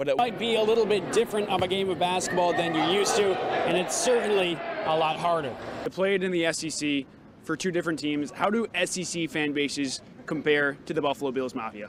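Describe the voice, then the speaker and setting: Over noticeable background noise, a man with a high pitch speaks at a fairly quick pace with lively intonation. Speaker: sports anchor and reporter. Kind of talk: TV sports news report.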